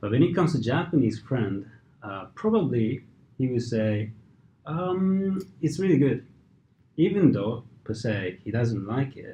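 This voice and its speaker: Somewhat breathy speech with very wide pitch swings, big swings in loudness, a fairly slow pace, and long, frequent pauses. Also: man, medium pitch for a man. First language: Japanese and Hungarian. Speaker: equity trader. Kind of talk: interview answer.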